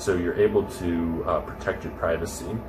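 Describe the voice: A low-pitched man's voice over clear background music.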